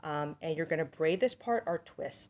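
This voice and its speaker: A woman with a plain, everyday voice speaks at a moderate pace, fairly low in pitch, with lively intonation. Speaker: hair braider; hair braiding demonstrator. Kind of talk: tutorial. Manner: casual, with fillers. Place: home room. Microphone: phone near.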